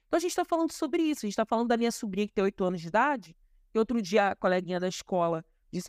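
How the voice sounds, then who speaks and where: On a very clean recording with a silent background, a woman speaks with lively intonation in a dry, close sound with no echo. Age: 30s. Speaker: historian and activist. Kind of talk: interview.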